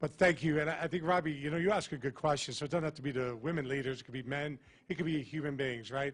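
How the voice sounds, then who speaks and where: This man's voice sits fairly high. The pitch moves in an ordinary way. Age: old. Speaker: business bureau executive. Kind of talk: closing remarks at panel event. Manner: loud.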